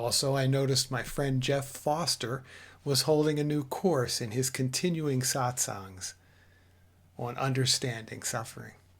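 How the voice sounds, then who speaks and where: A man talks at a fairly slow pace in a somewhat breathy, medium-pitched voice with fairly even intonation. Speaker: spiritual teacher. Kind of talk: spiritual talk.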